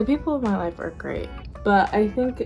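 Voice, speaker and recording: A woman's voice with music in the background. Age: 20s. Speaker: freelance photographer. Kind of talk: casual talk to camera.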